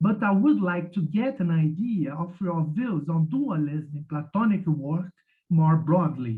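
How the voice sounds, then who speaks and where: A man speaks with a Portuguese accent at a high pitch. His pace is fairly slow. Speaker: academic commentator. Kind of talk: reading a prepared commentary. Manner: halting, with repeated words.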